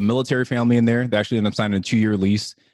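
This is a very clean recording with total silence behind the voice. The speaker is a man with an American accent. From Southern California. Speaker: real estate investor. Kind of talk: casual interview chat.

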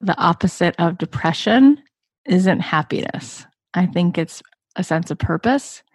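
A woman with a fairly low pitch and a somewhat breathy voice talks fairly slowly with lively intonation, recorded dry and close with no echo. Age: 40s. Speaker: podcast host and business coach. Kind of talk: interview.

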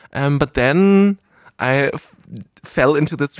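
In a very clean recording with a silent background, a man with a German accent speaks with ordinary pitch variation, the sound dry and close with no echo. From Germany (rural). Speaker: adult film performer. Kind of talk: casual chat. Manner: rambling.

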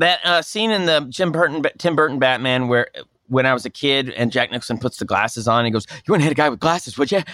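In a very clean recording with a silent background, a man with an American accent talks at a very fast pace, his fairly high, bright, sharp voice full of lively intonation. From Oklahoma, Tulsa. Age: 40s. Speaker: comedian and actor. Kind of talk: casual chat.

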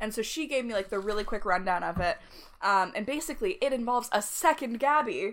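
Talking at a very fast pace, a woman has a fairly high pitch and lively intonation. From Canada. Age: 20s. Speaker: podcast co-host. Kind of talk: casual chat.

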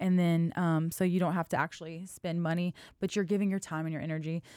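A woman speaks quickly enough at a fairly low pitch in a monotone, flat way, in a very clean, dry, close recording with no echo and a silent background. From Louisiana, Lafayette (Cajun). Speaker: dance studio owner and founder. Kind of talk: casual interview. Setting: studio.

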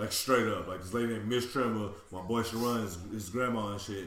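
A man with a Houston accent at a very fast pace, fairly low in pitch, with ordinary pitch variation, audible room echo and noticeable background noise. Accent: Southern US, Houston. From Houston, Texas. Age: 30s. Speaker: podcast co-host. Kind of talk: casual chat.

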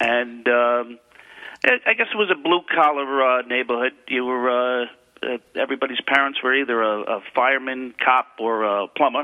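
At a moderate pace, a man speaks with a medium pitch and ordinary pitch variation.

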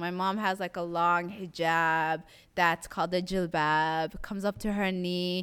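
A woman has an ordinary speaking voice with medium pitch and fairly even intonation. Her recording is very clean, with a silent background. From Somali community in Toronto, Canada. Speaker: visual artist. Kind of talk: interview.

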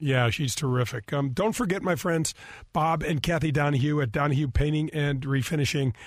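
A plain, everyday voice with an American accent speaks at a moderate pace with ordinary pitch variation on a very clean recording with a silent background. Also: man. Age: 50s. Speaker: radio host and former pro golfer. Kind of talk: radio talk show.

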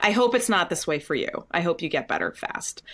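A woman with an unremarkable speaking voice and lively intonation at a moderate pace, on a very clean recording with a silent background. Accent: American. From US Northeast (New England). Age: 40s. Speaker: Broadway actress. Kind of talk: casual interview.

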